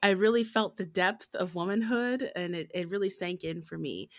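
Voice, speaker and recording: A woman with an unremarkable speaking voice talks at a moderate pace and medium pitch, with ordinary pitch variation. The recording is very clean, with a silent background. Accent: American. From Southfield, Michigan (Detroit suburbs). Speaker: actor and podcast co-host. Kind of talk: casual chat.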